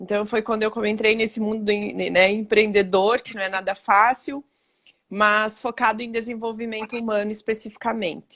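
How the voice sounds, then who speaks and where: A woman's monotone, flat intonation holds a moderate pace. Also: fairly high pitch for a woman. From western Santa Catarina, Brazil. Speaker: human development consultant. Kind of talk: live stream conversation. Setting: live stream video call.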